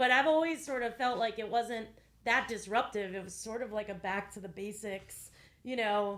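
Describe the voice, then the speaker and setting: With an American accent and a plain, everyday voice, a woman at fairly high pitch talks at a moderate pace with big swings in loudness. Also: ordinary pitch variation. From US, Northern Virginia. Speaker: rabbi and podcast co-host. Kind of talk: casual podcast conversation.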